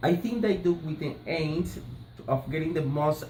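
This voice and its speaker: In a Colombian accent, a man talks at a fairly slow pace with a fairly high pitch. Noticeable noise runs in the background. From Colombia, Barranquilla. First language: Spanish. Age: 30s. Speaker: language student. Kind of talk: class assignment presentation. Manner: halting, hesitant. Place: home room. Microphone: phone near.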